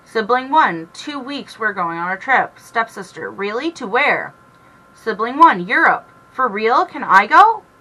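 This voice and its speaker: Over noticeable background noise, a woman talks at a fairly slow pace. Her fairly high voice swings very widely in pitch. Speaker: reddit story reader. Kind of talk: casual reddit story reading with commentary. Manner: stumbling, stuttering over words.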